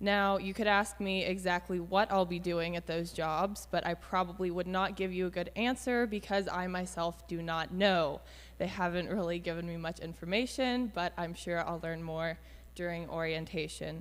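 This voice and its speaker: A woman's fairly low voice at a moderate pace, with fairly even intonation. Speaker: volunteer. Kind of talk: testimony. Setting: church. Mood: friendly, slightly nervous. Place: church. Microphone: handheld.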